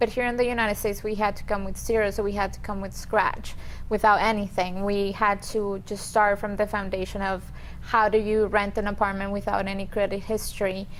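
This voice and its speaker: A woman's medium-pitched voice with a Colombian accent, fairly quick and in a monotone, flat intonation. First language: Spanish. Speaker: immigration attorney. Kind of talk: interview.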